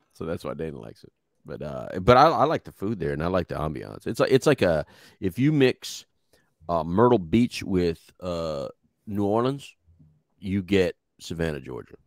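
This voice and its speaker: With a Texan accent, a man with a very deep, low pitch talks at a moderate pace with very wide pitch swings and long, frequent pauses, in a dry sound with no echo over a quiet background. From Texas. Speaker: podcast co-host. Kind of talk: casual chat. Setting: live video stream. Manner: passionate. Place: studio. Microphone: studio mic.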